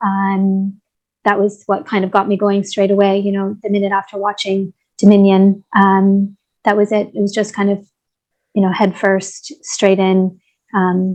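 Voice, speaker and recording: Speaking fairly slowly with a Canadian accent, a woman keeps a monotone, flat intonation. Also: medium pitch for a woman. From Canada. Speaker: vegan activist and YouTuber. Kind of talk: casual conversation.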